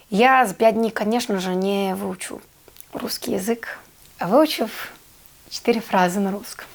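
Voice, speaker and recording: Her pace is fairly slow, broken by long, frequent pauses. The woman's pitch is medium, with ordinary variation. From Serbia. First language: Serbian (speaking Russian). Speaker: actress. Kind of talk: interview storytelling. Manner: hesitant, many fillers.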